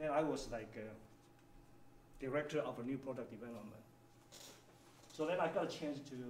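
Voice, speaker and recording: A man with a Chinese accent speaks at a fairly quick pace in a fairly high voice, with ordinary pitch variation and long, frequent pauses. Noticeable background noise and audible room echo fill the recording. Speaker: engineering executive. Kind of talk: workshop presentation.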